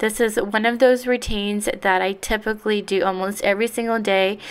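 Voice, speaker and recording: A woman with an American accent, medium in pitch, at a moderate pace with fairly even intonation. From Texas. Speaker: cleaning vlogger. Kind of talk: casual voiceover narration.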